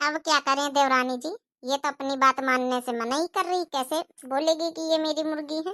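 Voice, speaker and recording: A cartoonish character voice, female-sounding and high-pitched, at a fairly quick pace, in a very clean recording with a silent background. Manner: loud, scolding.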